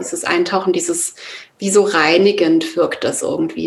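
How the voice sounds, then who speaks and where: Her intonation flat and monotone, a woman talks in a fairly low pitch. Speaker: yoga and meditation teacher. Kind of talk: interview. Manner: hesitant, many fillers.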